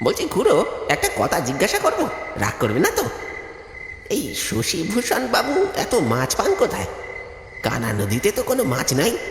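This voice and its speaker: A man performs a cartoonish character voice. Clear echo and clear background noise surround the recording. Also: moderate pace. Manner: inquisitive.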